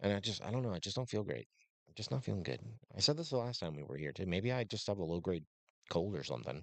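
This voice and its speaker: Speaking very fast with vocal fry, a man uses a very deep, low voice that swings widely in pitch and loudness. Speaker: podcast host. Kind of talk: casual chat.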